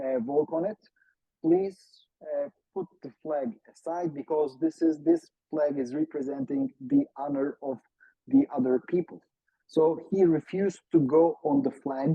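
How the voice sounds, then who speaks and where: With a Turkish accent, a man speaks at a fairly slow pace in a fairly high voice. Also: ordinary pitch variation. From Turkey. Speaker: academic expert on Turkey. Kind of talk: seminar talk. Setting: video call. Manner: hesitant, frequent fillers.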